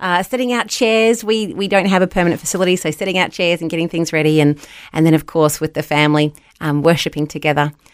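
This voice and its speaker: Very fast speech from a woman in an Australian accent, fairly low in pitch, with ordinary pitch variation. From New Zealand (Wellington), raised in Australia. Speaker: ministry leader and college lecturer. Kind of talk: casual interview chat.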